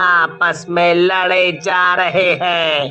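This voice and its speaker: A man uses a cartoonish character voice, high-pitched and very slow, with clear music playing in the background. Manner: scolding, authoritative.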